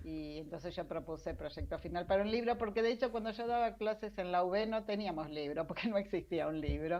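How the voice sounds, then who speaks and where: The speaker has a plain, everyday voice with ordinary pitch variation. The pace is fairly quick, with hardly any pauses. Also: woman, medium pitch for a woman. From Argentina, Mar del Plata. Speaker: science journalist. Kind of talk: interview. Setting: video call.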